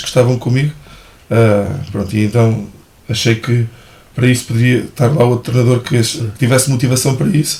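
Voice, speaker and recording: Very fast speech comes from a man with a medium pitch and a somewhat breathy voice. His intonation stays fairly even. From Portugal, Ribatejo (Santarém/Almeirim). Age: 30s. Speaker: athletics coach. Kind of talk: casual interview.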